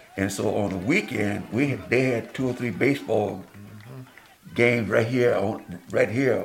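Noticeable background noise surrounds a man with an American accent. He speaks at a fairly slow pace. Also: medium pitch for a man, ordinary pitch variation. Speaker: pastor. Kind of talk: interview.

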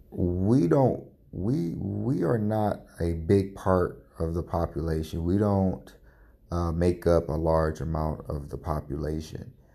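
A man's quiet, very deep, low voice, dark and mellow in tone, with ordinary pitch variation and a very slow pace. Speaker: podcast host. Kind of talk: personal commentary monologue.

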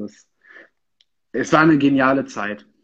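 A man speaks at a medium pitch. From Sauerland, Germany (Lüdenscheid). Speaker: political staffer. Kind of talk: casual interview. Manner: hesitant, many fillers.

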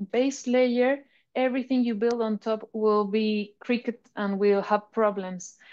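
Against a quiet background, a woman with a Spanish accent talks at a fairly slow pace in a fairly high voice, her tone dark and mellow and her intonation flat and monotone. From Chile. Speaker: artist and brand representative. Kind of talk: interview.

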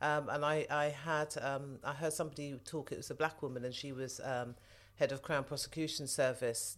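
Moderate in pace with monotone, flat intonation, in a London accent. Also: woman, very deep, low pitch for a woman, very clean recording, silent background. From southwest London. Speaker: mother of host. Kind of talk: casual interview.

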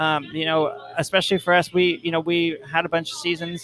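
This man's voice sits high in pitch. He is the one speaking. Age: 40s. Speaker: podcast co-host. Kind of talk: casual chat. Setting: in a brewery.

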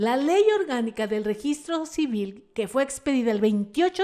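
Very wide pitch swings run through speech delivered at a very slow tempo. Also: woman. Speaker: radio host. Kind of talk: radio talk show monologue.

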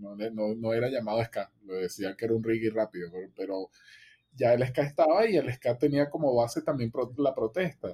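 A man's medium-pitched voice, dark and mellow in tone, at a moderate pace, with a dry, close sound and no echo. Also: ordinary pitch variation. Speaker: music podcast co-host. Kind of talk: casual chat.

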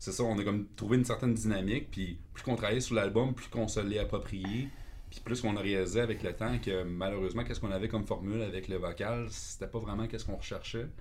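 A man in a Quebec accent, fairly low-pitched and somewhat breathy, with fairly even intonation, a very fast pace and audible room echo. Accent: Québécois French. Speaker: metal guitarist. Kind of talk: casual chat.

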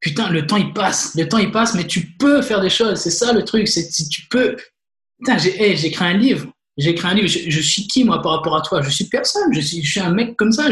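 This man speaks in a high pitch at a moderate pace. His intonation is lively. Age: 30s. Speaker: podcast host. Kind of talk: interview. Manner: animated.

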